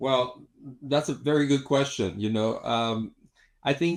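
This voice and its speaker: Against a quiet background, a man talks with a Spanish accent. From Mexico City, Mexico. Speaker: cosmetic dentist and filmmaker. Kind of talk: interview. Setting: studio. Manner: halting, many fillers and repetitions.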